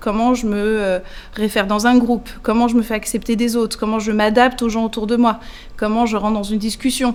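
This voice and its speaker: The speaker goes at a fairly quick pace with monotone, flat intonation. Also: woman, fairly high pitch for a woman. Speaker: nonprofit executive director. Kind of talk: interview. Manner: many hesitations (euh).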